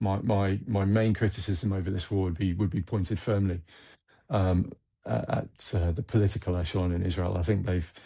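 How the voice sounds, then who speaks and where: A man with an English accent, very deep and low in pitch, somewhat breathy, at a fairly quick pace with ordinary pitch variation over a quiet background. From England. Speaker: military analyst, former army officer. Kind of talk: interview. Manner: halting, repeats words.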